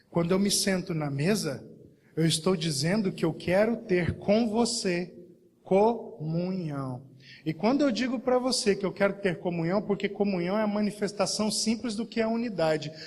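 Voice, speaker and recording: A man talks at a moderate tempo in a high voice. His pitch varies in an ordinary way. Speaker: pastor. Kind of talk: sermon. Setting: church service.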